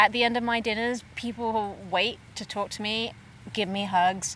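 A woman speaks in an English accent. Her fairly high pitch shows ordinary variation. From England. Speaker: pop-up dinner chef and organizer. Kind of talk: casual interview.

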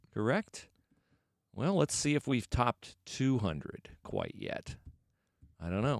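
A man speaks at a fairly slow pace in a medium pitch with vocal fry, very wide pitch swings, and long, frequent pauses, all in a dry, close sound with no echo. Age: 40s. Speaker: sports podcast co-host. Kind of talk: casual chat.

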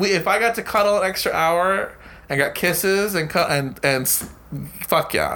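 A raised, projected voice with a bright, sharp tone keeps very even loudness, ordinary pitch variation and a fairly slow pace. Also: man, high pitch for a man. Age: 30s. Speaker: podcast co-host. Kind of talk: casual chat.

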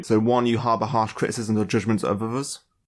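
This very clean recording with a silent background features a man at a medium pitch with a plain, everyday voice. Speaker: podcast host. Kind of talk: casual chat.

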